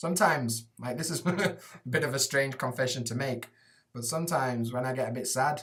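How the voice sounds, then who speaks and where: Somewhat breathy speech at a fairly quick pace. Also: man. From Sheffield, Yorkshire, England. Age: 30s. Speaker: English teacher in Japan. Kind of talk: casual live stream Q&A. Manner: casual, sweary, chatty.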